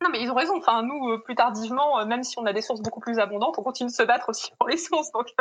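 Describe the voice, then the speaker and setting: Noticeable background noise sits behind a high-pitched woman. She talks at a very fast pace with ordinary pitch variation. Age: 20s. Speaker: literature PhD student. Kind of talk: interview.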